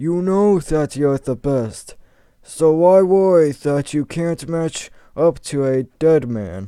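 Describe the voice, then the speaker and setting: Using a put-on character voice, a man speaks at a fairly high pitch with lively intonation and a fairly slow pace. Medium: read story.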